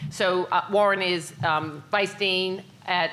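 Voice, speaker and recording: Behind a woman's fairly even intonation sits noticeable background noise. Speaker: family medicine professor. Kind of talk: panel discussion.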